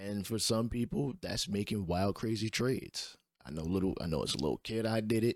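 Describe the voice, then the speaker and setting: A man talks in a plain, everyday voice with a fairly low pitch, lively intonation and a fairly quick pace. The recording is very clean, with a silent background and a dry, close sound with no echo. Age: 30s. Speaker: podcast host and gamer. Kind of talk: solo podcast monologue about sports video games. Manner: casual, opinionated, conversational.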